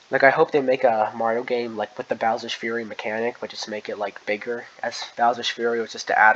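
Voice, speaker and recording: Speaking at a fairly quick pace, a man with a medium pitch uses a monotone, flat intonation against noticeable background noise. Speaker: gaming youtuber. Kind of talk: casual commentary. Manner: fast.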